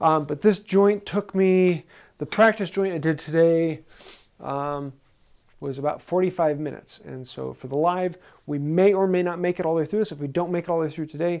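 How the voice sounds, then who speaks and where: A man talks at a moderate pace with a high pitch and ordinary pitch variation. The background is quiet. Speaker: woodworking instructor. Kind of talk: tutorial. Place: workshop. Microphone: lapel.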